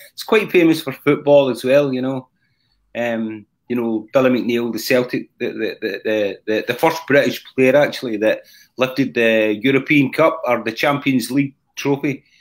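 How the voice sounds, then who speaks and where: A man speaks with a Scottish accent at a moderate pace. His medium-pitched voice has ordinary pitch variation. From Scotland. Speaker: rock drummer and singer. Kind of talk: casual interview. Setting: live-streamed video call. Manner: halting. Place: home room.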